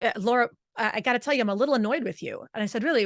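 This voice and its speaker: A woman's very fast, animated speech in a New Jersey accent, fairly high in pitch with lively intonation, against a quiet background. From New Jersey, Italian-American. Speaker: vocal coach. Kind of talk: interview.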